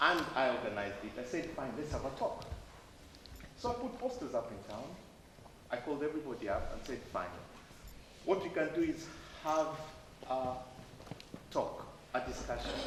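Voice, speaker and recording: A man with a Kenyan accent, very wide pitch swings and long, frequent pauses, amid noticeable background noise and audible room echo. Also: fairly high pitch for a man, moderate pace. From Kenya (Malindi). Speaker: DJ and community speaker. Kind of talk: talk to students. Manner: conversational with frequent fillers.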